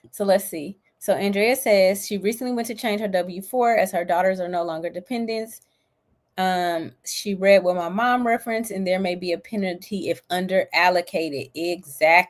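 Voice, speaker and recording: Speaking with a plain, everyday voice, a woman keeps a moderate pace, a medium pitch and ordinary pitch variation, captured in a very clean recording against a silent background. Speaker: livestream host teaching personal finance. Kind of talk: live-stream tutorial. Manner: casual, upbeat.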